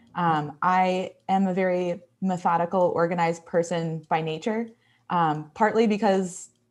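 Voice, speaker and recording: In a quiet background, a woman with a strong Midwestern accent talks at a fairly low pitch with fairly even intonation. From Texas. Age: 20s. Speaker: graphic designer and illustrator. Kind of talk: live design tutorial. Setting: livestream.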